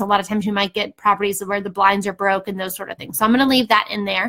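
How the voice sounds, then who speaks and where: Her tone bright and sharp, a woman speaks at a medium pitch. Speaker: real estate investor and educator. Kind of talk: tutorial. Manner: casual, filler-heavy.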